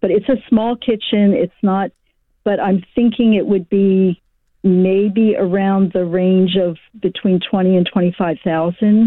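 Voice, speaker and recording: With an American accent, a woman speaks at medium pitch and a fairly slow pace. Her intonation is fairly even and her loudness very even. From Baltimore, US. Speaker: caller. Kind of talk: casual chat. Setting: phone call. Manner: halting.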